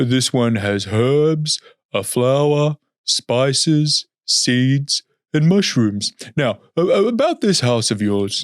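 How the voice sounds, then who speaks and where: A man puts on a character voice with a fairly high pitch. He speaks at a very slow pace. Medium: read story. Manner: polite, exasperated.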